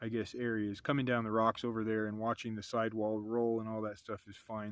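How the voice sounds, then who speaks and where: A man at a medium pitch on a very clean recording with a silent background. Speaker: RC hobby video creator. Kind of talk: product review. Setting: outdoors. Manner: casual; halting.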